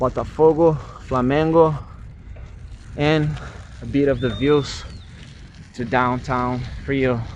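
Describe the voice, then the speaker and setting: The man's pitch sits in the medium range, and his intonation stays fairly even. He talks at a very slow pace with long, frequent pauses, and room echo is audible. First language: Portuguese. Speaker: travel vlogger. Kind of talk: vlog narration.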